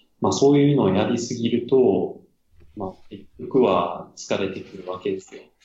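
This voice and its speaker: In a Kansai accent, a man with a medium pitch and a somewhat breathy voice speaks at a moderate pace, with ordinary pitch variation and big swings in loudness. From Japan, Amagasaki (Kansai). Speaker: acupuncturist running a clinic abroad. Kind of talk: casual interview chat.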